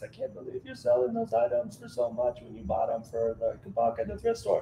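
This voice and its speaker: A man uses a whiny, put-on character voice at a fairly quick pace over clear background noise. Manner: complaining.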